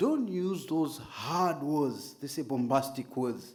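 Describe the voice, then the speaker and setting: With audible room echo, a man talks at a very slow pace. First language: not English. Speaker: Islamic preacher and trainer. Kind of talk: lecture.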